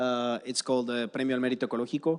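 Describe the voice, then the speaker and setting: A man's medium-pitched voice in a Spanish accent, monotone and flat. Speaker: environmental nonprofit founder. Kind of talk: conference talk. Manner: halting, many fillers and restarts.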